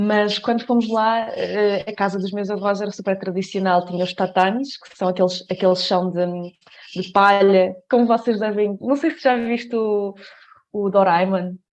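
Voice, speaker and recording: At a moderate pace, a woman speaks at medium pitch with fairly even intonation and big swings in loudness. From Portugal, Coimbra. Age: 20s. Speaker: dancer. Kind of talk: podcast interview. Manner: hesitant, many fillers.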